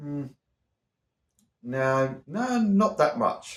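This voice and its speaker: A man's fairly high voice with an Australian accent and lively intonation. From Australia, Victoria. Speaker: YouTuber who stutters. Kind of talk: reaction video, reading aloud with commentary. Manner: repetitions and halting.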